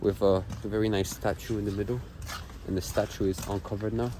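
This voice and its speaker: This man's fairly low voice sounds somewhat breathy, and his intonation stays fairly even. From Poland, Kalisz area. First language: Polish. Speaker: travel vlogger. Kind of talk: walking vlog narration. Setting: outdoors, walking in winter city. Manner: casual, halting.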